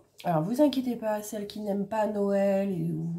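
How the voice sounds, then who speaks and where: In a dark, mellow tone that is somewhat breathy, a woman talks at a moderate pace with ordinary pitch variation. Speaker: crafts YouTuber. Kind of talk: casual vlog chat. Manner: soft-spoken; hesitant, many fillers.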